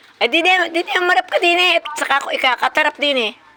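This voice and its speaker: A woman speaks in a raised, projected voice with a dry, close sound and no echo. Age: 60s. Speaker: vlogger. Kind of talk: casual chat. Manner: animated.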